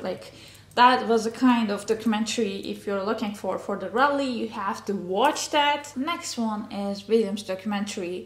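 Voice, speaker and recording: A woman's fairly high voice at a moderate pace, ordinary pitch variation, audible room echo and noticeable background noise. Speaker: motorsport YouTuber. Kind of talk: casual recommendation vlog. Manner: animated, many fillers.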